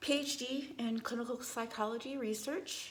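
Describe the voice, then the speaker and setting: A woman talks at a fairly slow pace, with audible room echo around her words. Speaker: psychologist and yoga therapist. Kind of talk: personal testimony vlog. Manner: halting, many fillers.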